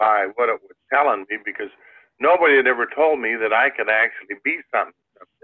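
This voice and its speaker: Ordinary pitch variation runs through a man's speech in a Midwestern American accent. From US Midwest, Iowa. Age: 70s. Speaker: inventor and entrepreneur. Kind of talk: interview storytelling. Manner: halting, many fillers.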